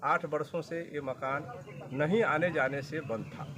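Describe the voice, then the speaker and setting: Noticeable background noise is present throughout. A man is the one talking. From Bihar, Saran district. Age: 60s. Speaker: landowner in a land dispute, retired lecturer and insurance agent. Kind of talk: interview testimony.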